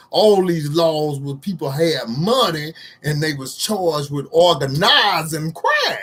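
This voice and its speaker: The speaker goes at a fairly slow pace with ordinary pitch variation. Noticeable background noise runs underneath. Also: man, fairly high pitch for a man. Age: 60s. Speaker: social commentary vlogger. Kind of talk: casual monologue to camera. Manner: halting, with many fillers.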